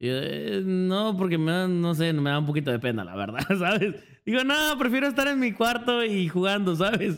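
The man talks at a moderate pace in a high voice with very wide pitch swings. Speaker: streamer. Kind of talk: casual chat. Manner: loud.

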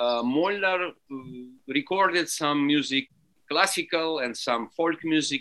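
Speaking with a Russian accent, a man talks at a fairly slow pace in a fairly high, bright and sharp voice, with ordinary pitch variation and long, frequent pauses. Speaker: alphorn and French horn musician. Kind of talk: interview.

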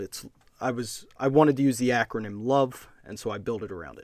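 A man with a plain, everyday voice speaks at a moderate pace, his pitch varying in an ordinary way, on a very clean recording against a silent background. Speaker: podcast host. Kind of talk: interview conversation.

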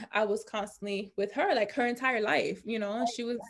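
A woman in a New York accent talks at a fairly high pitch with fairly even intonation. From US Northeast, New York (Bronx). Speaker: reality show winner, entrepreneur. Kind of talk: casual chat.

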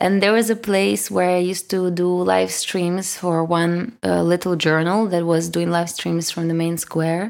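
In a Russian accent, a woman with a fairly low pitch speaks at a fairly slow pace, with hardly any pauses, ordinary pitch variation and very even loudness. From Kyiv, Ukraine. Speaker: singer-songwriter and music producer. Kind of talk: interview.

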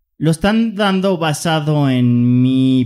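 A man speaks with very wide swings in pitch. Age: 30s. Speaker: personal development podcast host. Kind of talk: casual chat.

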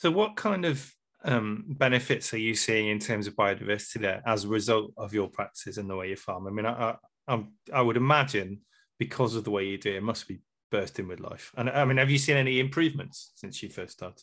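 A man at medium pitch speaking at a very fast pace, over a quiet background. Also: ordinary pitch variation. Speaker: podcast host. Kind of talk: casual interview.

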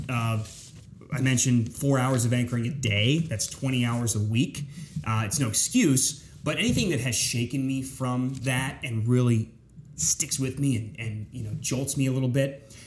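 With an American accent, a man talks at a moderate pace in a medium pitch and fairly even intonation over noticeable background noise. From south central Pennsylvania (York). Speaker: TV news anchor. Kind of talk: casual interview chat.

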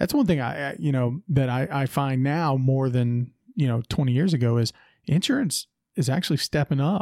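Recorded dry and close with no echo, a man with a fairly high pitch has an ordinary speaking voice and ordinary pitch variation. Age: 30s. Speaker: podcast host. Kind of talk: casual interview chat.

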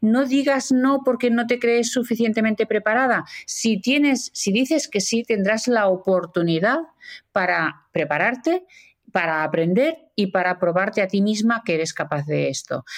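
A woman with a plain, everyday voice speaks at a fairly slow pace, her fairly high pitch carried by lively intonation and very even loudness. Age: 50s. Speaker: author and communication expert. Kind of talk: interview.

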